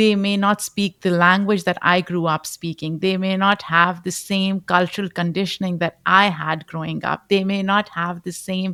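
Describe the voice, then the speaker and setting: In a Pashto accent, a woman speaks fairly slowly at a medium pitch, her tone bright and sharp and her intonation fairly even. The sound is dry and close with no echo, on a very clean recording with a silent background. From Pakistan. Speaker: podcast host. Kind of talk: interview.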